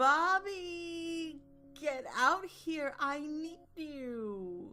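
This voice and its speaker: Music plays behind a put-on character voice that is high, shrill, nasal and whiny. The pace is very slow. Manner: calling out, demanding.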